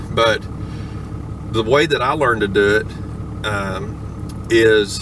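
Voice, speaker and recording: Over noticeable background noise, a man speaks at a very slow pace. His voice sits fairly low, with fairly even intonation. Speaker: hobbyist learning to auctioneer, log truck driver. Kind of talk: casual talk to camera. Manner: casual, conversational.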